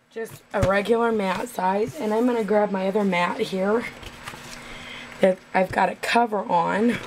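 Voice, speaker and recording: A woman talks at a fairly slow pace in a medium pitch with fairly even intonation, noticeable background noise behind her. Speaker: craft video maker. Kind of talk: tutorial. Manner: casual, chatty.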